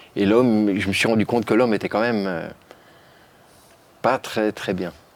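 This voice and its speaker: This man's voice sits fairly low in pitch, moving at a moderate pace with fairly even intonation. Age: 60s. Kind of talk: testimony in a talk show interview. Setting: studio talk show set. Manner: halting, with frequent repetitions.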